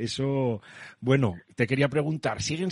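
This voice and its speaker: A man talks at a fairly slow pace with a slight Asturian accent and a fairly high pitch with ordinary variation. The sound is dry and close, with no echo. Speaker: radio host. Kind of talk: radio interview; radio show sign-off.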